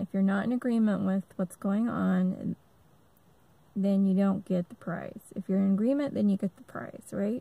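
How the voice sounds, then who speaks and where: A woman speaks at a medium pitch with a dark, mellow tone and a somewhat breathy quality. Her pace is moderate, her pitch varies in an ordinary way, and the sound is dry and close with no echo. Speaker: army veteran. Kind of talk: personal testimony monologue. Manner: halting, stammers a lot; many filler ums.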